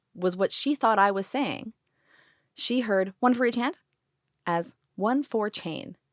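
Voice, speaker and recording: In a very clean recording with a silent background and a dry, close sound with no echo, a woman of medium pitch speaks at a very slow pace with ordinary pitch variation and long, frequent pauses. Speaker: podcast host. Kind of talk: casual interview conversation. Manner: words run together.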